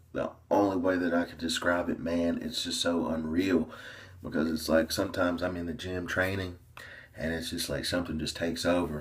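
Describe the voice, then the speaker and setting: Here a man with an American accent talks at a fairly quick pace and a very deep, low pitch. His voice is somewhat breathy, and his intonation is monotone and flat. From US South, small-town Tennessee. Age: 20s. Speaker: fitness coach and bodybuilder. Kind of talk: casual vlog monologue.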